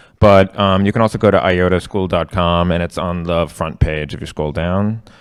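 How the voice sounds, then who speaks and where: Speaking with a New York accent, a man keeps his very deep, low voice in fairly even intonation. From New York, Queens. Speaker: tech accessibility instructor. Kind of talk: interactive workshop. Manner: fast; many fillers (um, uh).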